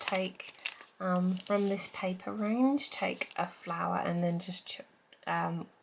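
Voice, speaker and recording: Against noticeable background noise, a woman speaks fairly slowly at medium pitch. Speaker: crafting YouTuber. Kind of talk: tutorial. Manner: hesitant, many fillers.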